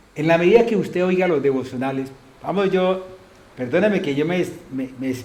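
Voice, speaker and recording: Speech at a moderate pace, with audible room echo and noticeable background noise. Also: man. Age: 70s. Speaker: pastor. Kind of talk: sermon. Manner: animated, rhetorical questions.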